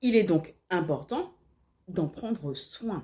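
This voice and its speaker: A woman's somewhat breathy voice with a dark, mellow tone, very wide pitch swings and a very slow pace, on a very clean recording with a silent background. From Martinique. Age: 30s. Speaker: life and organization coach. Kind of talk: tutorial.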